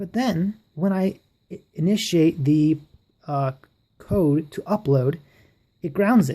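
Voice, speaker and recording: A woman's fairly low, somewhat breathy voice with a dark, mellow tone and lively intonation. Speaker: electronics hobbyist. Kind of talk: casual electronics tutorial to camera. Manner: stutters a bit.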